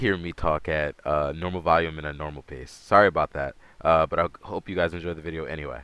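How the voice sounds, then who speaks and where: Very fast and with big swings in loudness, a man talks in a very deep, low voice with a bright, sharp tone. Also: dry, close sound with no echo. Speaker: gaming youtuber. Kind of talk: let's play commentary. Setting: at home. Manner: soft-spoken; low energy. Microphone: audio issues.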